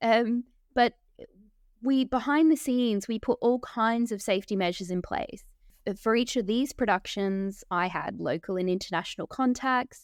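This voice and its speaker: A woman with an Australian accent speaks at a moderate pace, her fairly high voice showing ordinary pitch variation. The recording is very clean and dry, close with no echo and a silent background. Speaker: documentary filmmaker. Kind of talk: interview.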